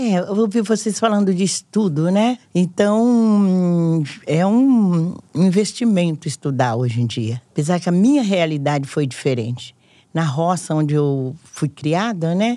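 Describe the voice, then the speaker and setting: In a very clean recording with a silent background, a woman speaks fairly slowly in a fairly low, dark, mellow voice with very wide pitch swings and very even loudness. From rural Minas Gerais, Brazil. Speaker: cook and writer, former housekeeper. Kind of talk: casual chat.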